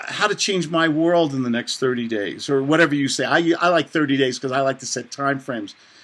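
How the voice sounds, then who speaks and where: This man talks at a fairly quick pace with a New York accent. Noticeable background noise runs behind him. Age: 60s. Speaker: author and real estate investor. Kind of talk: interview. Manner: animated.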